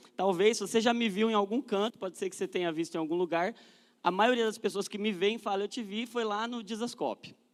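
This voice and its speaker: Fairly even intonation from a man with a high voice, speaking rather quickly. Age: 30s. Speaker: guest speaker at a church youth event. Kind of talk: church talk to a live audience. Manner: casual and joking.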